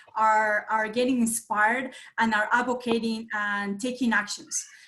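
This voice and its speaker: A woman with a Colombian accent speaks at a fairly high pitch with fairly even intonation. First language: Spanish. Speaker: nonprofit association president. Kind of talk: meeting host introduction. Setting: video call. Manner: hesitant, many fillers.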